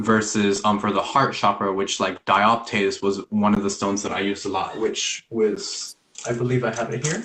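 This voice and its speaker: A man speaks with a fairly low pitch and monotone, flat intonation at a moderate pace. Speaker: spiritual practitioner. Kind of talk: casual interview.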